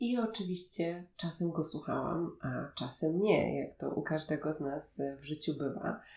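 A woman speaks at a fairly slow pace with a very deep, low pitch. Her pitch varies in an ordinary way, and there is vocal fry. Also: hardly any pauses. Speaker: podcast host and meditation guide. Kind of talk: personal storytelling monologue. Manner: soft-spoken.

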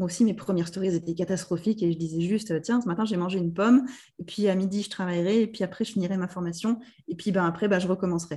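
Recorded very cleanly with a silent background, a woman talks very fast at medium pitch. Her tone is dark, mellow and somewhat breathy, with fairly even intonation. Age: 30s. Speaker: business mentor. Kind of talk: casual interview.

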